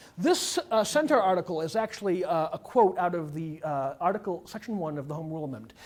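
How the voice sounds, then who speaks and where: This man has a high-pitched voice. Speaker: attorney. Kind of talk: presentation. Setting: public meeting room. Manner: fast; loud.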